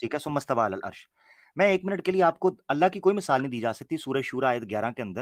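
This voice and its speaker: A man's voice with very wide pitch swings, in a dry, close sound with no echo. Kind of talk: religious debate discussion.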